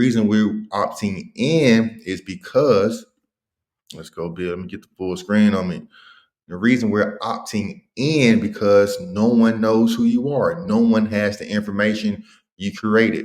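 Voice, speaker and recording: An ordinary speaking voice from a man, fairly low in pitch, at a fairly slow pace with big swings in loudness. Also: ordinary pitch variation. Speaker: credit consultant. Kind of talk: tutorial. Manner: casual slangy.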